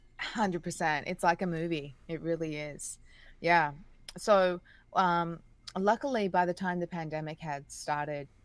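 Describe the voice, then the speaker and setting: At a fairly slow pace, a woman with an Australian accent speaks at a fairly low pitch with ordinary pitch variation on a very clean recording with a silent background. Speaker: singer and voice actress. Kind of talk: interview conversation. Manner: hesitant, many fillers.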